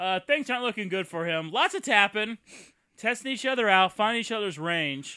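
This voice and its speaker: With a bright, sharp tone and a high pitch, a man projects a raised voice at a fairly quick pace, animated and lively in intonation, on a very clean recording with a silent background. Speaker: movie commentary host. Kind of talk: casual comedic movie riffing. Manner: jokey, animated, sarcastic.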